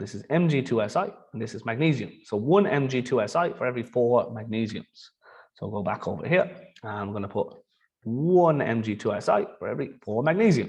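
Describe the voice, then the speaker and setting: In a somewhat breathy voice of medium pitch, a man talks at a fairly quick pace with very wide pitch swings. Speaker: chemistry teacher. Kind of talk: tutorial.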